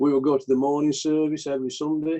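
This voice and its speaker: At a moderate pace, a man speaks with a Yorkshire accent in a dark, mellow tone. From Yorkshire, Pennines near Skipton. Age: 70s. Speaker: retired engineer, church member. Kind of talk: interview.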